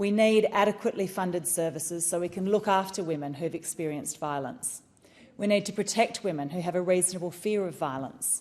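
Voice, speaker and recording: This woman talks at a fairly quick pace with an Australian accent. Her pitch varies in an ordinary way. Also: medium pitch for a woman. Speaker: politician. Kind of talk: parliamentary speech. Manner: formal.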